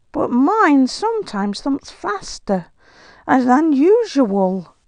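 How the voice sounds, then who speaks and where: A female-sounding put-on character voice, high in pitch with very wide pitch swings, at a very slow pace against a quiet background. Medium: read story. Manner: earnest, excitable.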